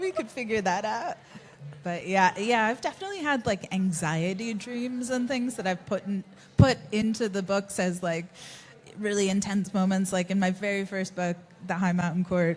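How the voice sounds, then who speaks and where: Somewhat breathy and medium-pitched, a woman speaks at a moderate pace with ordinary pitch variation and an American accent. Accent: American, despite being a Kiwi. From US Northeast (Connecticut). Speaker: fantasy author. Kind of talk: live panel conversation. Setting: stage with audience.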